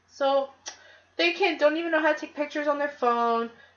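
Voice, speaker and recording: Loud and animated, a woman speaks in a high voice with ordinary pitch variation. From Canada, Toronto. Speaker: podcast host. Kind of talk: casual chat.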